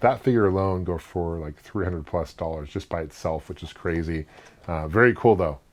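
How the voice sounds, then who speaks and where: A man rattles along at a very fast pace in a very deep, low voice. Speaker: toy collector reviewer. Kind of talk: casual talk to camera.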